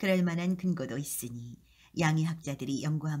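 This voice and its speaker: At a moderate pace, a woman with a very deep, low pitch and a dark, mellow, somewhat breathy tone speaks with ordinary pitch variation. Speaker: KBS voice actor. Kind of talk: audiobook-style reading of an essay.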